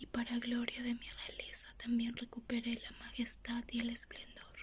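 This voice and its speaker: Whispering at a fairly slow pace. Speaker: ASMR Bible reader. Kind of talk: reading aloud.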